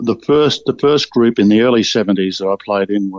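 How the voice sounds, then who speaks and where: Dry and close with no echo, a man with an Australian accent speaks at a fairly low pitch and moderate pace. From Victoria, Australia (Bendigo). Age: 70s. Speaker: retired football player. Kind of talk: interview. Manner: halting, many fillers.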